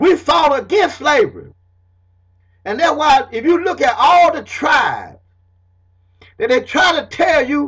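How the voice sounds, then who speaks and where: In a Southern accent, the speaker uses an animated tone and lively intonation while keeping a fairly slow pace. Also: man. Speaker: self-taught history lecturer. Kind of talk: informal lecture to camera.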